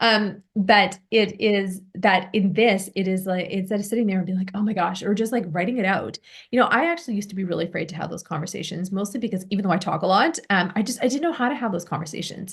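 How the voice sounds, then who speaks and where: A woman's somewhat breathy, medium-pitched voice at a very fast pace, with hardly any pauses and ordinary pitch variation. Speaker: business and visibility coach. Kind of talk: one-on-one coaching session.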